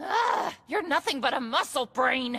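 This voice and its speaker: At a fairly slow pace, a woman does a put-on character voice that is high-pitched and raspy, with very wide pitch swings. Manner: hollering, insulting.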